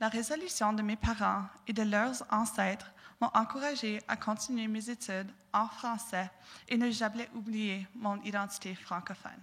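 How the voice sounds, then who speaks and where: Her voice is fairly high and her intonation fairly even. The woman speaks at a fairly slow pace. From southwestern Ontario, Canada. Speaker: university student speaker. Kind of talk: prepared talk. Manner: halting, with repetitions.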